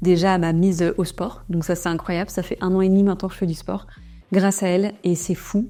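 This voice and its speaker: The speech runs at a very fast pace with monotone, flat intonation. Music plays in the background. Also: woman. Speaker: entrepreneur and vlogger. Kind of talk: vlog.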